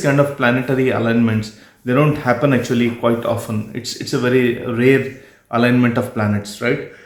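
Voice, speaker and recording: A man with fairly even intonation talks at a moderate pace in a medium pitch, and audible room echo can be heard. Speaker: astrologer. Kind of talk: video monologue.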